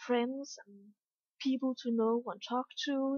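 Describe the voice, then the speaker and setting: A woman speaks with a Danish accent. Her pitch sits high. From Denmark. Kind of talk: casual vlog talk.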